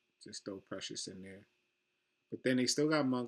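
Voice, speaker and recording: Soft-spoken, a man talks with fairly even intonation. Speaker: sports betting YouTuber. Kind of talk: casual solo talk-through tutorial. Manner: soft-spoken, low; casual, filler-heavy.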